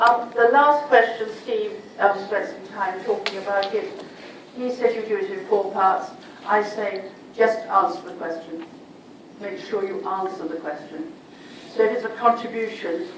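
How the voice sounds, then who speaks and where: A woman with a fairly high pitch speaks at a moderate pace with lively intonation and big swings in loudness. The recording has audible room echo and noticeable background noise. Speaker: sociology lecturer. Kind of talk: revision lecture. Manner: animated.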